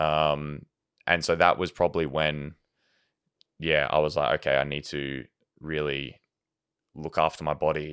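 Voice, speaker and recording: A man with an Australian accent, a very deep, low pitch, vocal fry and monotone, flat intonation at a moderate pace. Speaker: professional soccer goalkeeper. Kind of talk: casual chat.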